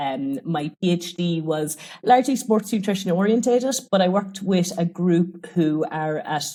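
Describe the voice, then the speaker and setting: A woman with an Irish accent speaks in a dark, mellow tone with lively intonation. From Ireland. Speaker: sports nutrition researcher. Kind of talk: podcast interview.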